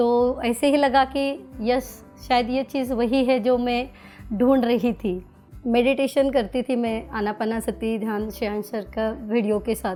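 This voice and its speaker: Music plays in the background. A woman speaks at a high pitch. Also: fairly even intonation. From Maharashtra. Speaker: teacher. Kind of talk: interview answer.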